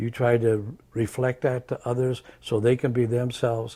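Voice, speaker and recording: A somewhat breathy man's voice at medium pitch, with an American accent and a moderate pace. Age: 80s+. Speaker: retired teacher, substitute teacher. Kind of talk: interview answer.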